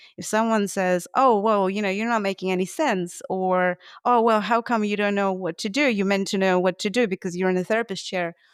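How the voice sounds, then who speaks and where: In a very clean, dry and close recording with a silent background and no echo, a woman with a Russian accent talks at a fairly quick pace and medium pitch, with fairly even intonation and hardly any pauses. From Russia, Moscow. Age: 30s. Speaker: gestalt therapist. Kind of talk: podcast interview. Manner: halting.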